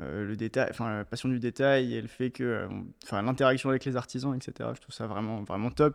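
An ordinary speaking voice moves at a fairly quick pace with fairly even intonation over a quiet background. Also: man. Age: 20s. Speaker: shoe designer and brand founder. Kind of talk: interview.

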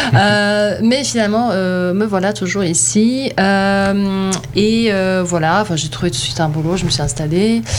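Lively intonation comes at a fairly slow pace, with audible room echo and noticeable background noise. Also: woman, medium pitch for a woman. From Bosnia (Sarajevo), schooled in Germany. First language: Bosnian; best language German (speaking French). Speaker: filmmaker. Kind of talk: casual interview. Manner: hesitant, many fillers.

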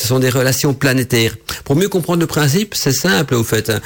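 A man talks at a very fast clip in a medium-pitched voice. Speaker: radio host on witchcraft and esotericism. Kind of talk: solo radio talk show. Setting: radio studio. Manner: hesitant, many fillers and repetitions.

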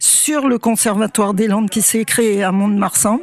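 A woman speaks at a fairly high pitch in a dry, close sound with no echo, with noticeable background noise. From Anjou, western France. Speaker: choir workshop member. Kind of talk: interview.

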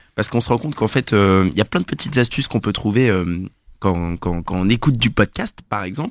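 A man with a normal speaking voice, fairly low pitch and lively intonation, at a fairly quick pace, in a dry, close sound with no echo and a very clean recording with a silent background. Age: 20s. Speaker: office colleague presenting podcast apps. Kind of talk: casual chat.

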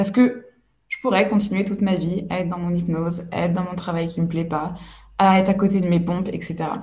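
A woman speaks at a fairly quick pace and medium pitch, with fairly even intonation and a dark, mellow, somewhat breathy tone. Room echo is audible. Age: 30s. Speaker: personal development coach. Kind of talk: interview.

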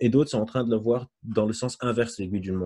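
At a very fast pace, a man speaks in a dark, mellow tone with ordinary pitch variation. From Lebanon. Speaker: psychologist and neuroscientist. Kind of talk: lecture. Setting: video call.

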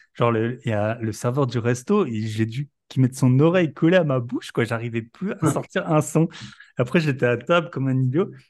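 A man speaks at a moderate pace in a normal speaking voice, medium in pitch with lively intonation, against a quiet background. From Alsace, France. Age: 30s. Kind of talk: casual chat.

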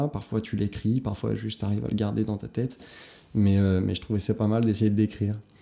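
A man speaks at a fairly quick pace in a dark, mellow, fairly low voice with monotone, flat intonation. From Paris suburbs, France. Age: 20s. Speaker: journalist. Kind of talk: casual interview. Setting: indoor venue, art studio building.

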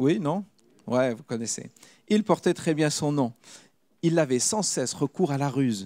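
Against a silent background on a very clean recording, a man with a fairly high, dark, mellow voice speaks fairly slowly with lively intonation and long, frequent pauses. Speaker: preacher. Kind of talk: sermon; testimony.

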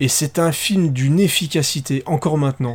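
Somewhat breathy and animated in tone, a man speaks fairly slowly in a fairly high pitch. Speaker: podcast co-host. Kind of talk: casual chat.

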